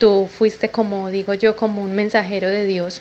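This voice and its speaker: A woman's medium-pitched voice at a fairly slow pace, flat and monotone. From Colombia. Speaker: caller. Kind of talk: recorded voice message.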